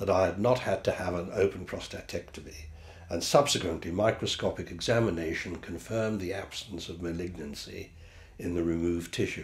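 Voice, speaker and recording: A man's very deep, low voice with a British accent, somewhat breathy, at a fairly quick pace with ordinary pitch variation. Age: 70s. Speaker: patient giving a testimonial. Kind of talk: testimony. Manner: formal.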